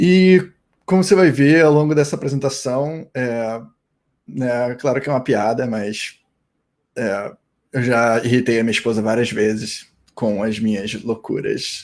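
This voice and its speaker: With long, frequent pauses, a man talks at a fairly slow pace in a medium pitch that has ordinary variation. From Brazil, Rio de Janeiro. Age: 30s. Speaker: security engineer, conference speaker. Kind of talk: conference talk. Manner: casual, with many fillers.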